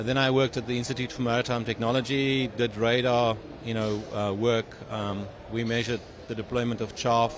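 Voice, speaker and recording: Over noticeable background noise, a man with a South African accent speaks fairly quickly at medium pitch in a flat monotone. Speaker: tech company CEO and engineer. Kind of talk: interview. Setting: trade show. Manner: halting with many fillers.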